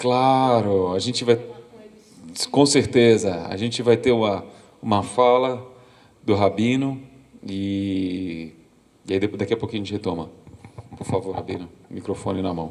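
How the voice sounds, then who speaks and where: Pausing long and often, a man speaks fairly slowly at a fairly low pitch with ordinary pitch variation. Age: 40s. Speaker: documentary photographer. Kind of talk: lecture. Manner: halting, frequent repetitions.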